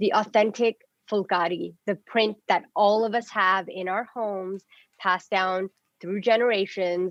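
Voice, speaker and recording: In a Punjabi accent, a woman speaks fairly slowly at a medium pitch, her intonation monotone and flat. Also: dry, close sound with no echo. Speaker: fashion stylist and influencer. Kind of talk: interview.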